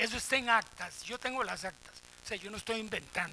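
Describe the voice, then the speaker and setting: With a Costa Rican accent, a man speaks in an animated tone at a fairly quick pace. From Costa Rica, Desamparados. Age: 70s. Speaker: professor emeritus, panelist. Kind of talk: round-table talk. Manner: animated, colloquial.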